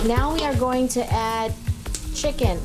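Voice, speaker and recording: A woman speaks with clear music in the background. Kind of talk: tutorial. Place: kitchen.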